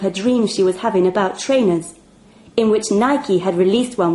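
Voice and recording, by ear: The pitch varies in an ordinary way as a person reads aloud in a natural voice.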